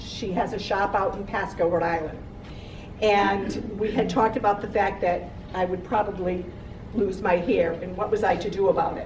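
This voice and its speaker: At a moderate pace, a woman speaks at medium pitch with fairly even intonation, amid noticeable background noise and audible room echo. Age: 60s. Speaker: cancer survivor. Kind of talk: testimony.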